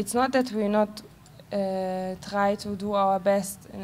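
Very slow speech with light background noise. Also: woman. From Germany. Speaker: clothing brand representative; speaker. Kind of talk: panel discussion. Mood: calm, thoughtful. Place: stage. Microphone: handheld.

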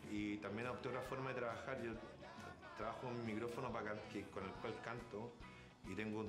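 Fairly quick speech over clear background music. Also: man. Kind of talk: interview answer. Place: studio.

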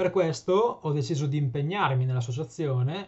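A somewhat breathy man's voice, fairly high in pitch, at a fairly quick pace. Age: 20s. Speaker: PhD student and patient advocate. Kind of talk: prepared presentation. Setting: remote video link. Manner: formal. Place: home room. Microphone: webcam.

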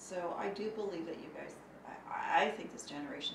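With a clear echo from the room, a woman speaks rather quickly. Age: 50s. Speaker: bank board director and business owner. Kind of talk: interview.

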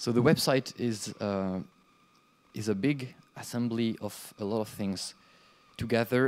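A man with a French accent talks at a fairly slow pace. His pitch varies in an ordinary way, and he leaves long, frequent pauses. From France. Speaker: conference speaker, game developer and hardware entrepreneur; conference presenter. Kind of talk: conference talk. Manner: halting. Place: classroom.

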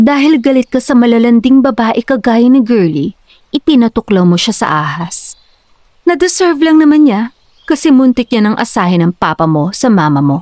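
With a dark, mellow tone and a fairly high pitch, a woman speaks at a moderate pace with very wide pitch swings, the sound dry and close with no echo. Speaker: voice actor playing a character. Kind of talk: dramatic character dialogue. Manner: mocking, teasing, laughing, Taglish.

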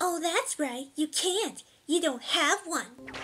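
A put-on character voice is pitched high. It moves at a fairly slow pace. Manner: sarcastic, mocking.

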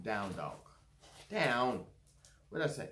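A man at a moderate pace, lively intonation over light background noise. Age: 50s. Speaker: YouTuber doing unboxings. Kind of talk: unboxing video. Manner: halting, many fillers. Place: home room. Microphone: phone near.

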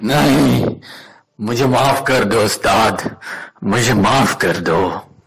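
A man puts on a raspy character voice at medium pitch, speaking at a fairly slow pace. His pitch varies in an ordinary way while his loudness stays very even. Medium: cartoon. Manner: bullying, then cowering.

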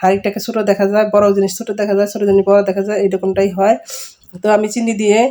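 Medium pitch from a woman, delivered in a flat, monotone way. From Bangladesh. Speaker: vlogger and homemaker. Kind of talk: cooking tutorial vlog.

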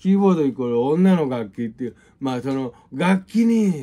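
This man has a dark, mellow tone and very wide pitch swings, delivered at a moderate pace. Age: 50s. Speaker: music teacher. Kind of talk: casual monologue and music tutorial. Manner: casual, rambling with many fillers. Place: home room. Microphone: phone near.

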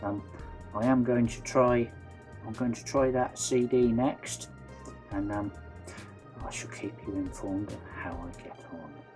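Clear music plays behind a man who speaks slowly-ish at a fairly low pitch, his intonation lively and his pace fairly slow. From West Country, England. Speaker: vlogger. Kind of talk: casual vlog talk to camera. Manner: hesitant, many fillers. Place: home room. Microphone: phone near.

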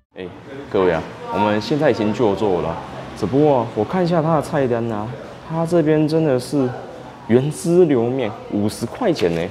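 A man's speech at a moderate pace, broken by long, frequent pauses, with noticeable background noise. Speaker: food vlogger. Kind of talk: casual vlog chat. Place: home room. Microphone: lapel.

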